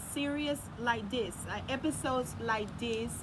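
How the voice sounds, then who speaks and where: A fairly slow delivery in a non-native accent, with noticeable background noise. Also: woman. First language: not English. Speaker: youth channel host, parent. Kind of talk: casual debate chat.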